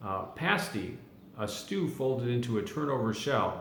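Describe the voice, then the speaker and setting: A man at a medium pitch against noticeable background noise. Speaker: dialect explainer. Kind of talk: casual talk to camera.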